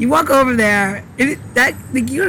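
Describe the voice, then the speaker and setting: Background noise is noticeable. A woman does the talking. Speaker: cocktail mixologist co-host. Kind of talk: casual chat. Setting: outdoors.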